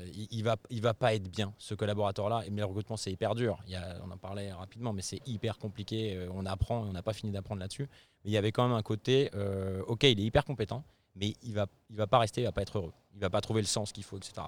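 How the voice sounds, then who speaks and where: Very fast delivery with fairly even intonation and big swings in loudness, dry and close with no echo, on a very clean recording with a silent background. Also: man, fairly low pitch for a man. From France, Savoy, raised in Paris region. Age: 40s. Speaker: startup CEO. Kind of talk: interview. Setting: company office in Paris.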